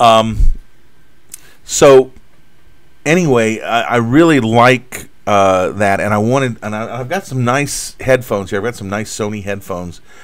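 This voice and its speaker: A man's voice sits at a medium pitch, moving at a fairly slow pace with ordinary pitch variation. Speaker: cartoonist live-streaming drawing. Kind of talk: live stream chat. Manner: halting, many fillers.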